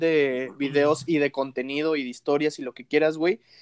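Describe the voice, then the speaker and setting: Recorded with a dry, close sound and no echo, a man with a Mexican accent speaks at a fairly high pitch. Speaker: podcast host. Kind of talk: casual chat.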